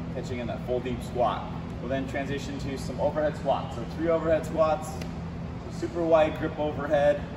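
A speaker talks at a moderate pace over loud background noise. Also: man. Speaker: fitness coach. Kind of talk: tutorial. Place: gym. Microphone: camera far.

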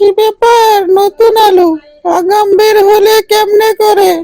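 A cartoonish character voice, extremely high and monotone, with flat intonation at a fairly slow pace. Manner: complaining, boastful.

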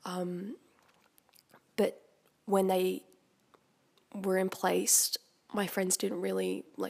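Speaking with an Australian accent, a woman has a medium pitch. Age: 20s. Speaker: young local resident. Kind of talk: interview.

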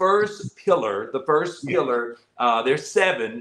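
A man speaking at a very slow pace, with lively intonation. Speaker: host, pastor. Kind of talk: interview host talk. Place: home room. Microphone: video call.

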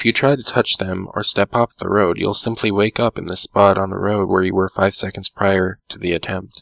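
A man with an unremarkable speaking voice talks at a moderate pace with hardly any pauses, his pitch fairly low and his intonation fairly even. The recording is very clean, with a silent background and a dry, close sound with no echo. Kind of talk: creepypasta horror narration, second-person scripted story read aloud.

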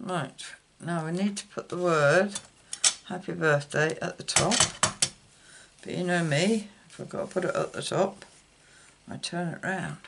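The speaker moves at a moderate pace with long, frequent pauses and ordinary pitch variation, over noticeable background noise. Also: woman, fairly low pitch for a woman. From UK. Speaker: card-making YouTuber. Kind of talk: crafting tutorial. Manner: casual, hesitant with fillers.

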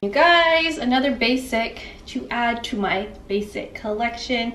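A woman talks at a very slow pace, with audible room echo and light background noise. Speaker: fashion vlogger. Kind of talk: casual vlog chat. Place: home room. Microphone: camera far.

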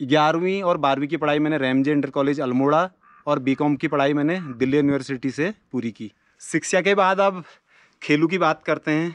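A man speaks at a fairly slow pace, his dry sound carrying no echo against a quiet background. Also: ordinary pitch variation. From Uttarakhand, Almora district (Kumaon hills); Uttarakhand, India. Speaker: YouTuber. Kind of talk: self-introduction to camera. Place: open country. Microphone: phone near.

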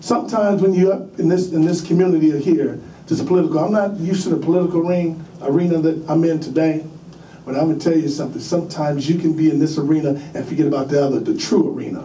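A man with an American accent talks at a very fast pace, fairly high in pitch, with fairly even intonation. Light background noise and audible room echo are present. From St. Louis, Missouri. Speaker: former pro football player and community advocate. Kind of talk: public testimony. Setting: legislative committee hearing. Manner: blunt, candid. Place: meeting room. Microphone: podium.

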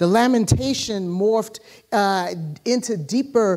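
Quiet surroundings behind a woman's voice. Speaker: preacher. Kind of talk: sermon. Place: church. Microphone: lapel.

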